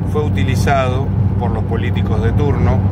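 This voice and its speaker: A man is heard over loud background noise. The sound is dry, with no echo. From Argentina, Mar del Plata. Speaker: political movement founder. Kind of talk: video message to supporters. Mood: earnest, determined. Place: car. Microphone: phone near.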